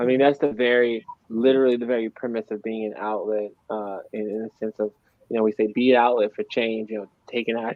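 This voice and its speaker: Monotone, flat intonation from a man at medium pitch, with an American accent and a fairly quick pace. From USA. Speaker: show co-host and musician. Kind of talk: casual chat.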